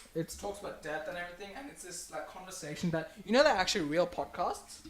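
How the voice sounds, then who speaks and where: Very fast and animated, the voice shows big swings in loudness and ordinary pitch variation. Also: man, high pitch for a man. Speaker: live stream host. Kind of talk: casual chat. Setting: live stream.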